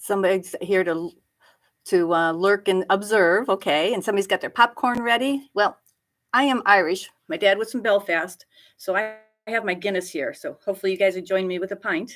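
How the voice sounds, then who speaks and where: This woman has an ordinary speaking voice at medium pitch, moving at a fairly quick pace with ordinary pitch variation. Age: 60s. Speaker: greenhouse grower. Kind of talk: live stream chat with viewers. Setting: home office.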